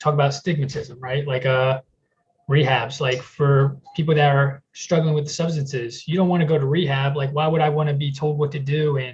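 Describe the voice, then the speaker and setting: A man speaks in a fairly high, somewhat breathy voice. His intonation is monotone and flat, and his pace is moderate. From US South. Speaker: person in recovery. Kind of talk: testimony. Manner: casual, with many fillers.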